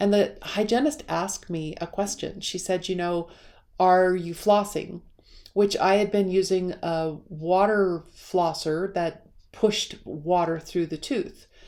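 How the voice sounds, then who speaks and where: In a very clean recording with a silent background, a woman speaks at a moderate pace with medium pitch, fairly even intonation and a dark, mellow tone. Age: 60s. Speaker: personal wellness video creator. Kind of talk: personal vlog monologue. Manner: conversational, meandering.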